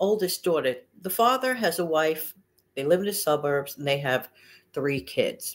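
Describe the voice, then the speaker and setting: Her intonation lively, a woman speaks. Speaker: money-saving channel host. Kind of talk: casual vlog chat. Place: home room. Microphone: webcam.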